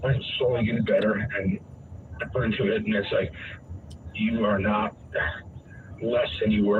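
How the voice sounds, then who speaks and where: Over noticeable background noise, a man speaks at a moderate pace. He leaves long, frequent pauses. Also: very even loudness. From New England, Vermont. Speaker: caller with brain injury. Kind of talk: casual conversation, personal story. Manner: halting, many fillers.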